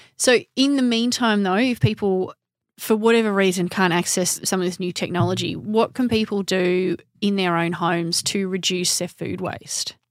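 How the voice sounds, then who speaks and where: A woman with an Australian accent, medium pitch, moderate pace, very clean recording with a silent background. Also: ordinary pitch variation. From Melbourne, Australia. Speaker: horticulturalist and podcast host. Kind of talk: interview.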